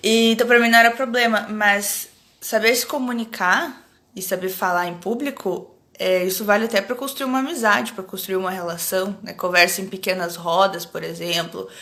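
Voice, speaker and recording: With a bright, sharp tone and big swings in loudness, a woman of medium pitch talks at a moderate pace with ordinary pitch variation. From Rio Grande do Sul, Brazil (Alegrete). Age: 30s. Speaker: academic researcher, anthropologist. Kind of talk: casual live-stream chat. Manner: hesitant with pauses.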